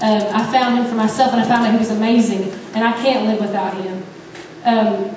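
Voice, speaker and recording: A woman speaks at a fairly quick pace in a fairly high, monotone, flat voice. There is audible room echo and noticeable background noise. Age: 20s. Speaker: youth speaker at church. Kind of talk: sermon. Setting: church service. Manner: halting, many fillers.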